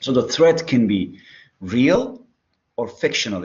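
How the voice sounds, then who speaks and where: Audible room echo surrounds a man whose fairly high pitch moves in very wide swings. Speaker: psychology lecturer. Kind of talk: lecture. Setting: online class.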